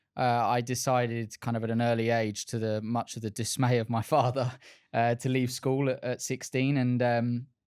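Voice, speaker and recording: A man with an Essex accent speaks at medium pitch and a moderate pace. His intonation is monotone and flat, on a very clean recording with a silent background. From England, Essex. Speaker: car sales director. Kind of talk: podcast interview. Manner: hesitant, many filler words.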